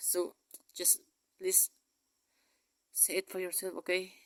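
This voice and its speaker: A man talks at a moderate pace with a high pitch. The sound is dry and close, with no echo. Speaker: vlogger. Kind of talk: personal video message. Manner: halting.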